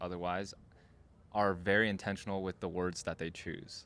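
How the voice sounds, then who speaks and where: A man at a fairly low pitch and moderate pace, in a very clean recording with a silent background. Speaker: podcast co-host. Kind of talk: casual chat. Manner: many filler words.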